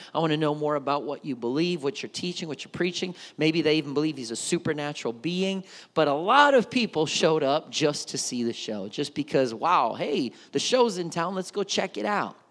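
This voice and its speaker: With a Southern US accent, a man with a fairly high pitch talks at a fairly quick pace, his tone animated and his intonation lively. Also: very clean recording, silent background. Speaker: pastor. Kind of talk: sermon. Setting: church.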